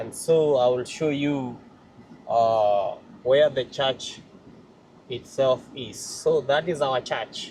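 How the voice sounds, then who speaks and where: At a very slow pace with long, frequent pauses, a man speaks at a medium pitch, somewhat breathy, with fairly even intonation. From Kenya. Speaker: vlogger, church member. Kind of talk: vlog walkthrough. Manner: halting, many fillers.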